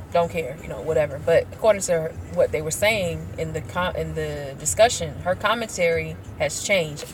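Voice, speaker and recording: A woman speaks in an animated tone at a fairly quick pace. Noticeable background noise can be heard. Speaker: YouTube commentator. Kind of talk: casual commentary vlog. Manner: casual, animated.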